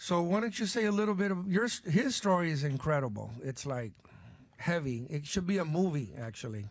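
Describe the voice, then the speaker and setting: Speaking at a fairly quick pace, a man uses a high pitch with very wide pitch swings. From Cuba, raised in Tampa, Florida and California. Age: 60s. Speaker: podcast host and musician. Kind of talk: podcast interview.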